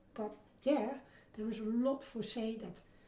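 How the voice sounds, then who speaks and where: This woman's voice is somewhat breathy, with a dark, mellow tone and a Dutch accent. Room echo can be heard around her. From Netherlands. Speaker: oral history interviewee. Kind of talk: interview. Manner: halting, many repeated words.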